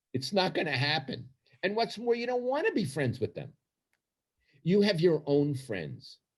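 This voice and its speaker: Very wide pitch swings and vocal fry mark this man's speech in a Brooklyn accent. He moves at a moderate pace with long, frequent pauses. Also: fairly high pitch for a man. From New York, Brooklyn. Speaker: retired sports columnist. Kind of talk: podcast interview. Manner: confrontational, emphatic.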